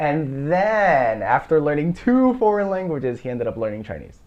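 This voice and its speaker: With an American accent, a man swings his pitch very widely amid noticeable background noise. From United States. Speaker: podcast host. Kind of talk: casual chat.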